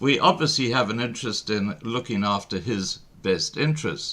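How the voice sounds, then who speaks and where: This very clean recording, with a silent background, carries a bright, sharp tone and very wide pitch swings. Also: man. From South Africa. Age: 60s. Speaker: online show host. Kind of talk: interview. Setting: live stream.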